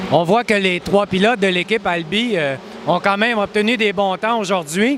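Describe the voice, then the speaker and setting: Over noticeable background noise, a high-pitched man speaks at a moderate pace with ordinary pitch variation and very even loudness. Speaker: automotive journalist. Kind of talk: interview.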